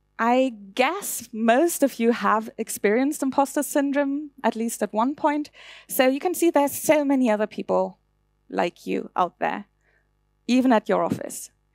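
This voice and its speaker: Recorded very cleanly against a silent background, a woman with a German accent speaks at a high pitch and moderate pace, with ordinary pitch variation and a dry, close sound with no echo. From Germany. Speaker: conference speaker. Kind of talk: conference talk.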